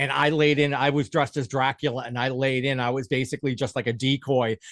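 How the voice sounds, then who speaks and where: Very fast and animated, a man talks with an American accent in a dry, close sound with no echo. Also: medium pitch for a man. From Massachusetts (Boston area). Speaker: podcast host and phone repair shop owner. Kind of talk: casual interview chat. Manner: animated, with many fillers and restarts.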